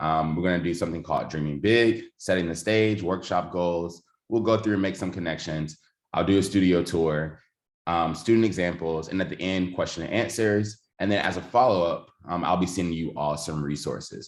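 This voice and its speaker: This man has a Southern US accent and a very deep, low pitch. He talks at a fairly quick pace against a quiet background. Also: ordinary pitch variation. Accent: Southern US (Georgia). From US South, Georgia. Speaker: education technology trainer, former teacher. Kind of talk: online workshop presentation.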